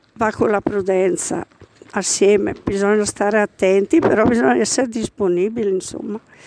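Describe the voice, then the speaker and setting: Noticeable background noise accompanies a woman speaking at a moderate pace in a medium pitch, with a dry, close sound and no echo. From Caino, province of Brescia. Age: old. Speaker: caretaker of a small church. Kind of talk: interview.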